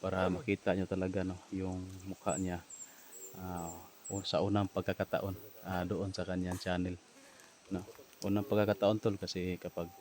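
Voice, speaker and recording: In a very deep, low pitch, a man speaks at a moderate pace with a monotone, flat intonation. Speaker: vlogger. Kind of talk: casual vlog talk.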